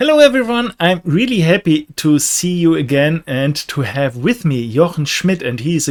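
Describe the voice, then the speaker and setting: A man with a German accent speaks at a high pitch. His pitch swings very widely at a moderate pace. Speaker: professional trader. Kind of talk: casual chat. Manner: halting.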